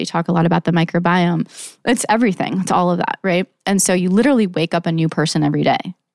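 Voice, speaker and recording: The delivery is very fast with hardly any pauses, vocal fry, very even loudness and ordinary pitch variation, the sound dry and close with no echo. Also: woman, fairly low pitch for a woman. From Saudi Arabia. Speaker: beverage company co-founder. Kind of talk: casual interview.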